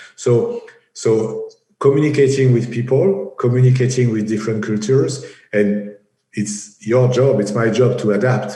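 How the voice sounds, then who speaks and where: In a strong French accent, a somewhat breathy man speaks at a moderate pace with fairly even intonation and audible room echo. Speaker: engineering project executive. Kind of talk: interview. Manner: halting, many fillers and repetitions.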